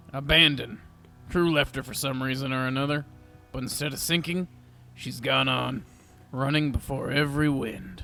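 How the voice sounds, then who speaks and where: A man's put-on character voice, gruff and medium in pitch, at a moderate pace with long, frequent pauses. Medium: audio drama. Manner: terse, gruff.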